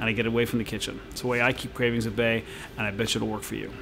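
A man speaks very fast in a flat monotone, with noticeable background noise behind him. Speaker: fitness trainer. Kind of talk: direct-to-camera Q&A advice. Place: gym.

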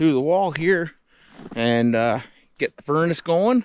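A man speaks at a fairly slow pace in a dry sound with no echo. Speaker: outdoor vlogger. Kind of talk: casual vlog chat. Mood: relaxed, cheerful. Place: garden. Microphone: phone near.

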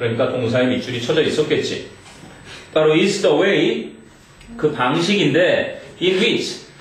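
A man's high-pitched voice with lively intonation and very even loudness, at a fairly slow pace with long, frequent pauses and audible room echo. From South Korea. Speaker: English teacher; teacher. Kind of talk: classroom lecture. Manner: casual, interactive with students. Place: classroom. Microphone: camera far.

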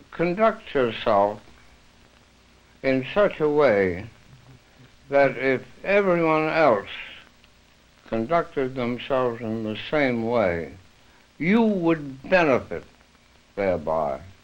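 Speaking at a very slow pace with long, frequent pauses, a man with an American accent lets his pitch swing very widely. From United States. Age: 80s+. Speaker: author and interpretation theorist. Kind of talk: interview answer. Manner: hesitant, reflective. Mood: thoughtful, reflective. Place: home room. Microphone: old recording.

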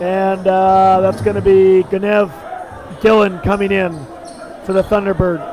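A man with a high voice speaks with fairly even intonation over noticeable background noise. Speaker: basketball play-by-play commentator. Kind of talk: live sports commentary. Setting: gym broadcast of a school game.

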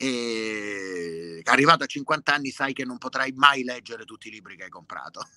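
Over noticeable background noise, a man talks at a moderate pace and medium pitch with ordinary pitch variation and hardly any pauses. His loudness swings widely, and the sound is dry and close with no echo. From Lecce, southern Italy. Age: 50s. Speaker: singer-songwriter. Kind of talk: interview conversation.

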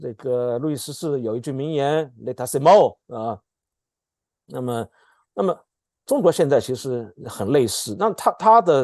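Lively intonation from a man at a fairly slow pace, long, frequent pauses, quiet background. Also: dry sound with no echo. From mainland China. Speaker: political scientist; political commentator guest. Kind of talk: political commentary discussion. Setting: video call. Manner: halting, many fillers and repetitions. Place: home room. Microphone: earbuds.

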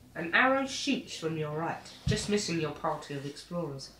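A woman's fairly low voice, very wide pitch swings, noticeable background noise. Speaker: family board game player. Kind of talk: casual chat.

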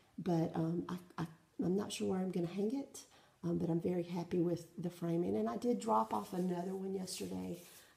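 Speaking fairly quickly with a Southern US accent, a woman has a fairly low pitch and lively intonation. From South Carolina, US South. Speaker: cross-stitch vlogger. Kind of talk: casual show-and-tell vlog. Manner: hesitant, many fillers. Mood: friendly, relaxed. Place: home room. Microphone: phone near.

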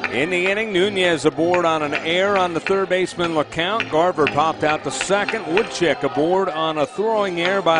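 A man talks at a moderate pace in a high pitch. There is noticeable background noise. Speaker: baseball radio announcer. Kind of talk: live play-by-play sports commentary, baseball highlights. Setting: radio broadcast clips of a game. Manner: excitable, rising to a shout on home runs and walk-off win.

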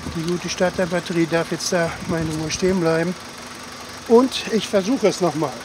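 A man's high-pitched voice at a moderate pace, with ordinary pitch variation, dry sound with no echo and noticeable background noise. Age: 60s. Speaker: hobby car mechanic and video creator; hobby mechanic vlogger. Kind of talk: casual vlog narration. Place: open country. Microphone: camera far.

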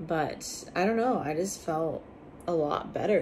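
A woman's very deep, low pitch with vocal fry, over light background noise. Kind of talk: casual vlog chat. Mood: calm, mildly upbeat. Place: home room. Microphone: phone near.

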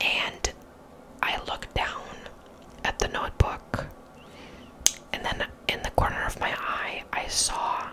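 A woman whispers fairly slowly, with long pauses occurring often. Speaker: ASMR creator. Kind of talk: casual storytelling to camera. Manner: whispered, soft. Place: bathroom. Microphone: studio mic.

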